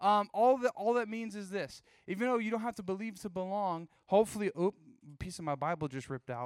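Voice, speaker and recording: A man with an American accent speaks at a high pitch and a very fast pace, with ordinary pitch variation. The recording is very clean with a silent background, dry and close with no echo. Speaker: youth pastor. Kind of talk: youth group sermon. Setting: church stage with live audience, also streamed. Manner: fast talker; animated, casual.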